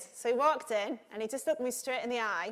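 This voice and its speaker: A high-pitched woman's voice with a northern English accent, a fairly quick pace and lively intonation. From northern England. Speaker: conference host and broadcast journalist. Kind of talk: conference hosting with anecdote. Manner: animated.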